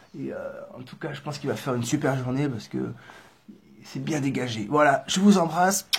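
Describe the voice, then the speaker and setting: A man speaks at a moderate pace, somewhat breathy. His intonation is lively. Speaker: vlogger traveling on foot. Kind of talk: casual vlog to camera. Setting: indoors in a building entrance hall. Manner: soft-spoken; hesitant, many fillers.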